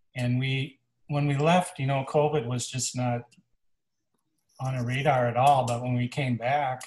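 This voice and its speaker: A man with a medium, somewhat breathy voice speaks at a fairly slow pace with fairly even intonation and long, frequent pauses. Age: 60s. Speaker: farmer and songwriter. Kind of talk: casual chat.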